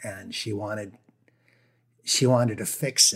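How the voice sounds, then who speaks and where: With an American accent, a man speaks in a breathy voice at a fairly low pitch, his intonation fairly even. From northern Maine, US. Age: 50s. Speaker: singer-songwriter. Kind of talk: interview conversation.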